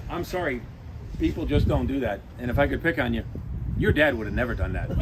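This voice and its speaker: A man speaks at a very fast pace. Noticeable background noise runs under the recording. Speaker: gaming figure at anniversary event. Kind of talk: speech at outdoor ceremony.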